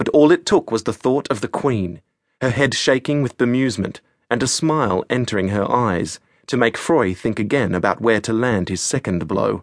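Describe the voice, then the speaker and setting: A man with an ordinary speaking voice talks at medium pitch, with lively intonation and a moderate pace. The sound is dry and close with no echo, over a quiet background. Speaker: audiobook narrator.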